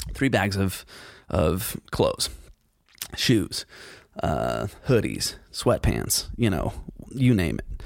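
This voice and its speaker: This man has a fairly low pitch, very wide pitch swings and vocal fry. He talks at a very slow pace with long, frequent pauses. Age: 40s. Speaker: podcast host. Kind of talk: solo casual monologue. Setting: studio.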